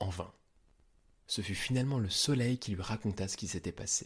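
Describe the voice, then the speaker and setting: Somewhat breathy, a man with a fairly low pitch speaks with ordinary pitch variation. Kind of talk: scripted mythology narration, storytelling. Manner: clear, measured, didactic storyteller pace.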